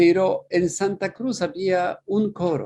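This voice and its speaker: This man has a Polish accent, a high pitch and a dark, mellow tone, and he talks very slowly with lively intonation. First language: Polish (speaking Spanish). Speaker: priest and musicologist, festival director. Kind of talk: interview. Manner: halting, with many fillers and repetitions.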